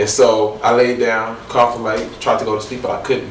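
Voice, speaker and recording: A man speaks at a fairly quick pace with an American accent. Noticeable background noise and audible room echo come through. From Illinois. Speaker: guest sharing faith testimony. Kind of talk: testimony. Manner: halting.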